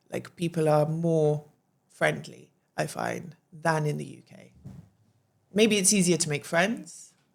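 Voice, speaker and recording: A woman with a British accent speaks at a fairly slow pace. Her loudness swings widely, and her pauses are long and frequent. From England. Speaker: podcast guest, English woman living in Albania. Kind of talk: casual chat.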